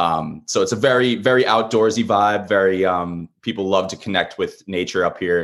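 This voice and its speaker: A man's plain, everyday voice with an American accent, fairly low-pitched with ordinary pitch variation, at a moderate pace over a quiet background. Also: hardly any pauses. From Long Island, New York. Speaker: marine conservationist and small business owner. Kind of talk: interview conversation.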